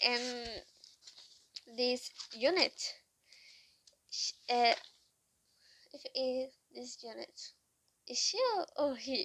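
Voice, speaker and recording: Speaking at a very slow pace with long, frequent pauses, a woman with a non-native accent has a high pitch, ordinary pitch variation and big swings in loudness. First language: not English. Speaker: vlogger. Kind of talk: casual monologue. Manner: halting.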